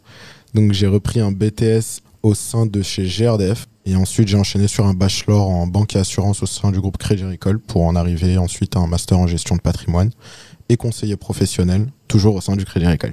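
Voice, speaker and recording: A man's dark, mellow voice, fairly low in pitch, with flat, monotone intonation and a fairly quick pace. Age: 20s. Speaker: banking apprentice. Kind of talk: podcast interview. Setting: studio.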